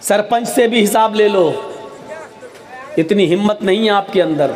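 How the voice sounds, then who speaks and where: A man speaks at a high pitch with ordinary pitch variation. Crowd noise can be heard behind him. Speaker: Islamic preacher. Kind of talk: sermon. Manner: slow.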